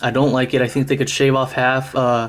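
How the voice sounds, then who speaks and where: A man's voice at a medium pitch. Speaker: knife reviewer, former Marine. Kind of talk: product review. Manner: casual, many fillers.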